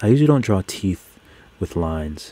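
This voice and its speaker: Fairly low in pitch, a man sounds relaxed and somewhat breathy. His tone is dark and mellow, with lively intonation. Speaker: digital artist live streamer. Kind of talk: live stream chat while drawing. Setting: live stream, computer nearby. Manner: relaxed, casual; gets overexcited, speeds up.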